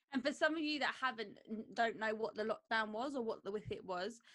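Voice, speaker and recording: A woman with a South London accent. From Croydon, south London, England. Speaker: dog groomer and podcast co-host. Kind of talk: casual chat.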